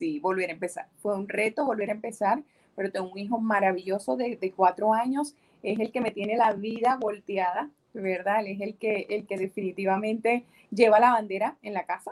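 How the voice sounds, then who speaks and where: Speaking at a moderate pace, a woman has an unremarkable speaking voice with a fairly high pitch and ordinary pitch variation. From Venezuela, Maracaibo (Zulia). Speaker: entrepreneur and English teacher. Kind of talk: casual interview.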